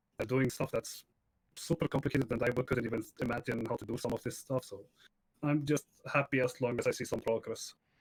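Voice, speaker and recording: Somewhat breathy man at a fairly quick pace, fairly even intonation, dry close sound without echo. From Iceland. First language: Icelandic. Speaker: video game streamer. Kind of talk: casual chat.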